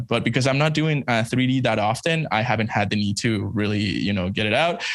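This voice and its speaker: A man with a slight Spanish accent talks very fast at medium pitch, with hardly any pauses and ordinary pitch variation. His loudness stays very even over a quiet background. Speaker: embroidery digitiser and educator; podcast guest. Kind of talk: casual chat. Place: home room. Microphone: studio mic.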